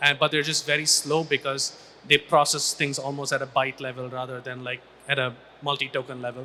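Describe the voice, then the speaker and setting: Delivered in a Tamil accent, the speech keeps a moderate pace with monotone, flat intonation. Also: man. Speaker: AI research scientist. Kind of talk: panel discussion. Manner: halting, many restarts.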